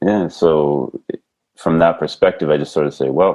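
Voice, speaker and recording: A man with a slight French accent speaks at a moderate pace in a very deep, low pitch, his intonation fairly even. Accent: slight French tinge. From Canada, British Columbia. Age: 50s. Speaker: basketball coach. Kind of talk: podcast interview.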